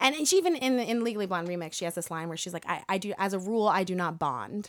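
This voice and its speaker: A woman speaks with an American accent in a normal speaking voice, medium in pitch. Her pace is fairly quick, and the recording is very clean with a silent background. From Connecticut, US. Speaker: actor and singer. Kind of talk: casual chat.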